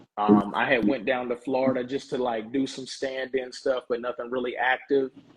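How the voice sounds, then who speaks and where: Speech comes in a Southern US accent. The intonation stays monotone and flat. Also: man, medium pitch for a man, moderate pace. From US South, small town. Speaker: professional wrestler. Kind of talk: casual interview chat. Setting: live podcast. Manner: casual, relaxed.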